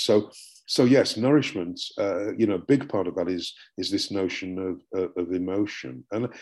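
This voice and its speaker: A man with a British accent speaks at a fairly low pitch. The recording is very clean, with a silent background. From UK. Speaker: professor and book author. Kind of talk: academic interview.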